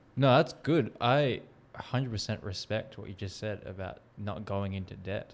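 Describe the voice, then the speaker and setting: With an unremarkable speaking voice, a man at fairly low pitch speaks at a moderate pace, showing ordinary pitch variation and big swings in loudness. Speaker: podcast host. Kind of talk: casual interview chat.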